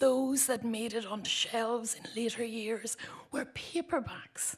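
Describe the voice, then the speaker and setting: A woman with a Northern Irish accent speaks at a fairly slow pace in a high pitch. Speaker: writer reading own poem. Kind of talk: reading aloud poetry.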